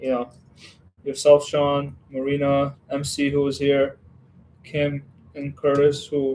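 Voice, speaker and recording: This man has a fairly high pitch and a dark, mellow tone. He talks at a fairly slow pace in a relaxed tone. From western Ukraine. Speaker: Lego streamer. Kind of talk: casual livestream chat. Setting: home Lego room. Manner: relaxed, hesitant with fillers.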